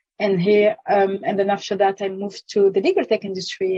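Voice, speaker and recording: Speaking at a moderate pace with a French accent, a woman has a medium pitch and a dark, mellow tone, the sound dry and close with no echo. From France. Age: 30s. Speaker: legal tech consultant. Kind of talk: podcast interview. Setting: podcast.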